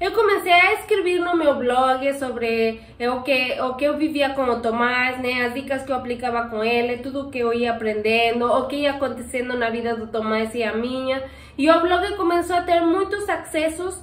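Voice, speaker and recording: With a high pitch and lively intonation, a woman talks at a moderate pace with hardly any pauses. Audible room echo surrounds her voice. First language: not Portuguese (speaking Portuguese). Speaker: pet channel host. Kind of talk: Q&A casual chat. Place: home room. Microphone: camera far.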